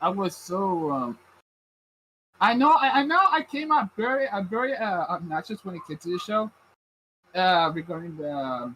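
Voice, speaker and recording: With a Puerto Rican accent, a man speaks at a high pitch in a bright, sharp tone, with very wide pitch swings and long, frequent pauses. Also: moderate pace. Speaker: anime podcast host. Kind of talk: casual chat. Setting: live stream. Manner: halting, many fillers.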